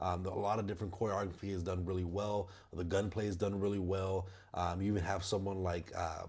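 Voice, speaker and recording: A man with a very deep, low pitch talks at a fairly quick pace in a somewhat breathy, monotone, flat delivery, with audible room echo. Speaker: movie reviewer channel host. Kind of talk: casual movie review monologue. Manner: halting, many fillers and repetitions.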